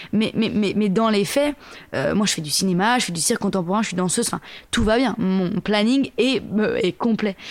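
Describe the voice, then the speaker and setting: Noticeable background noise sits under a woman's fairly high-pitched speech. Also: ordinary pitch variation, moderate pace. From Paris suburbs, Seine-et-Marne, France. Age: 30s. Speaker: singer and performer. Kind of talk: casual interview. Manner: halting, many repetitions.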